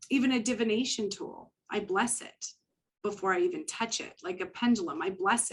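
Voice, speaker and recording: Speaking at a moderate pace with a Canadian accent, a woman's fairly high, somewhat breathy voice carries lively intonation and big swings in loudness. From Canada. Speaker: psychic medium. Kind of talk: interview.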